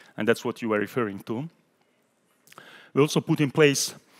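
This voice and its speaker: With an Italian accent and ordinary pitch variation, a man speaks in a dry, close sound with no echo. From Italy. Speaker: European Parliament official. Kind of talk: panel discussion.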